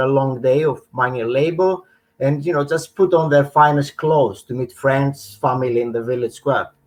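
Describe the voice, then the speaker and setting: A man speaks with a Greek accent at a fairly high pitch. His pace is moderate, with ordinary pitch variation. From northern Greece. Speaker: menswear brand founder. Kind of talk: interview. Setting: live stream.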